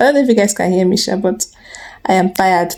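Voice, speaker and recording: A woman rattles off her lines at a very fast pace in a put-on character voice. Her medium-pitched voice sounds raspy. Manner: quiet, not talking loud.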